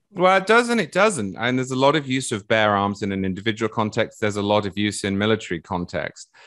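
Against a quiet background, a man with an English accent talks at a very fast pace and fairly low pitch, with ordinary pitch variation and hardly any pauses. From England. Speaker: political writer and podcast co-host. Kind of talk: panel discussion.

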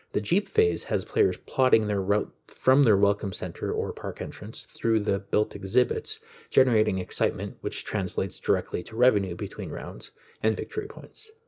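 A man with a plain, everyday voice speaks at a fairly low pitch and a moderate pace, with ordinary pitch variation. The recording is very clean, with a silent background. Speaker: board game podcaster. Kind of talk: casual podcast segment reviewing games.

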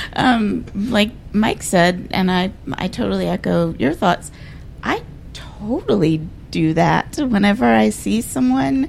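Very slowly, a woman speaks. Noticeable background noise runs beneath her. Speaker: bar co-owner and artist. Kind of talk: casual chat.

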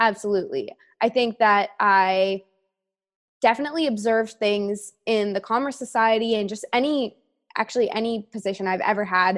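Heard on a very clean recording against a silent background, an ordinary speaking voice with a Canadian accent moves at a moderate pace with ordinary pitch variation. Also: woman, fairly high pitch for a woman. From Canada, Toronto. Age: 20s. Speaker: brand marketing professional. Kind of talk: casual interview chat.

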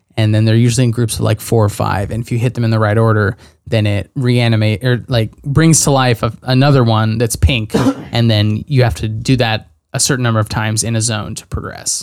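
A man talks rather fast in a normal speaking voice, his medium pitch held to a fairly flat intonation. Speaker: podcast co-host. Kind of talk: casual chat.

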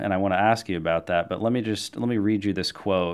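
A man speaks with a fairly low pitch and ordinary pitch variation. The recording is very clean, with a silent background. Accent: American. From US Midwest. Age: 30s. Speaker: podcast host. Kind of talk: interview conversation.

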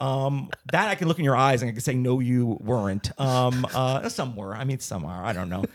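A man with an American accent, lively intonation and hardly any pauses. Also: medium pitch for a man. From New Jersey. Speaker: stand-up comedian and actor. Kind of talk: casual interview chat. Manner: fast.

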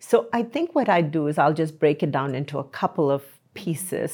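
Her pitch very deep and low, a woman speaks at a moderate pace in a dark, mellow tone on a very clean recording with a silent background. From India. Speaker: healthcare management engineering leader. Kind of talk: interview.

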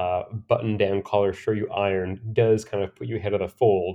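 A man's unremarkable speaking voice with an American accent, fairly low in pitch, fairly even in intonation, at a fairly quick pace. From Pennsylvania, small former coal mining town. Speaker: menswear and drinks writer. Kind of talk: casual interview.

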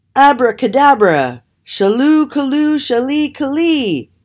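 A man's put-on character voice at an extremely high pitch and fairly slow pace, on a very clean recording with a silent background

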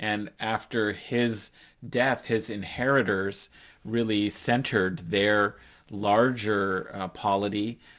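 Over a silent background on a very clean recording, a man speaks very slowly in a fairly low pitch. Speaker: Afghanistan expert, academic. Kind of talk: interview discussion, analytical.

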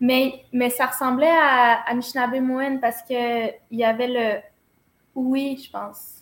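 At a very slow pace, a woman with a high pitch speaks with monotone, flat intonation. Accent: Quebec. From Quebec. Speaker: dancer and choreographer. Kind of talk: interview. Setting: office.

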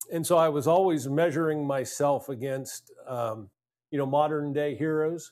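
A plain, everyday voice from a man, pitched fairly high, with ordinary pitch variation and a moderate pace. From US, Pennsylvania (Altoona). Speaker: leadership speaker, former naval commander. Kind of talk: interview conversation.

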